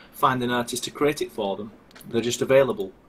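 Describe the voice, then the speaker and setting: A man with a strong Lancashire accent over noticeable background noise. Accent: thick Wigan. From northern England, Wigan. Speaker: game developer. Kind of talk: live stream interview.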